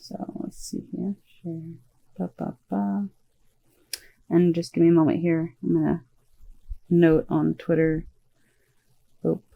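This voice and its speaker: This soft-spoken woman talks very slowly, leaving long, frequent pauses. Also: big swings in loudness. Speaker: vtuber streamer. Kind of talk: casual gaming stream.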